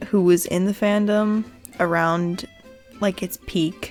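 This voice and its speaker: Background music can be heard. The delivery is very slow. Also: woman. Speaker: creepypasta narrator. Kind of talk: casual talk to camera. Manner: naturally loud.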